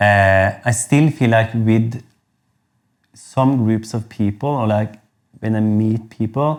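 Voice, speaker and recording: A man speaks at a medium pitch with fairly even intonation, very slowly and with long, frequent pauses. The recording is very clean over a silent background. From Norway. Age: 40s. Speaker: singer. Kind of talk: casual chat. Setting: studio. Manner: halting.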